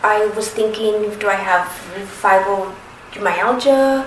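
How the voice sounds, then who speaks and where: A woman with a fairly high pitch and ordinary pitch variation speaks amid noticeable background noise and audible room echo. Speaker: patient sharing medical experience. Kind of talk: personal testimony. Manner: halting.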